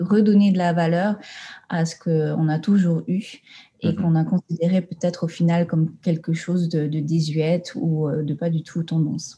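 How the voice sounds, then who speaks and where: Somewhat breathy and dark, mellow in tone, a woman talks at a fairly low pitch with fairly even intonation. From Tahiti, French Polynesia. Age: 20s. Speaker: environmental management consultant. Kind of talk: interview. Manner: halting, many fillers.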